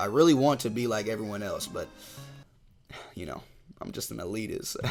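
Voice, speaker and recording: A man talks at a moderate pace in an American accent. His voice carries vocal fry. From United States. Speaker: YouTuber, anime commentator. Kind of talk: casual video commentary. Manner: loud.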